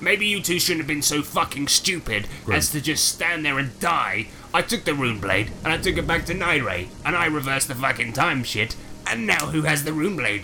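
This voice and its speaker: Over clear background music, a man does a put-on character voice, fairly high in pitch, at a moderate pace. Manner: angry, sweary, gloating.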